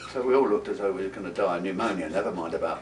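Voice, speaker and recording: A man is speaking. Clear music sits in the background. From London, England. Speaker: war veteran. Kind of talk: interview answer. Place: home room.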